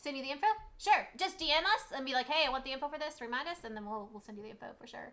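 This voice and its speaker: A woman with a Southern US accent and a high pitch talks at a very fast pace, with very wide pitch swings and big swings in loudness, over noticeable background noise. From Germany, US military family. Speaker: PA educator and co-host. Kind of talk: casual live stream chat.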